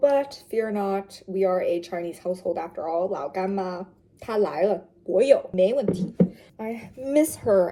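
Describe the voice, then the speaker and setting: Woman with an ordinary speaking voice, medium pitch and ordinary pitch variation. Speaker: vlogger. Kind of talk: casual vlog narration.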